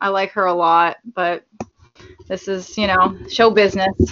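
Using a plain, everyday voice, a woman speaks at medium pitch and a fairly slow pace with fairly even intonation. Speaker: actress and model. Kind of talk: casual chat. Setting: video call.

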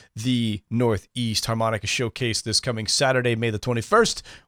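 A man with an ordinary speaking voice talks at medium pitch and a moderate pace. The recording is very clean with a silent background, dry and close with no echo. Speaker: radio host. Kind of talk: radio show hosting. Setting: studio.

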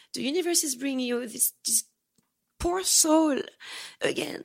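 A woman with a French accent speaks at a fairly slow pace in a high, animated voice. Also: long, frequent pauses. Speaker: escort. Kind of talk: casual interview chat. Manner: animated, expressive storyteller.

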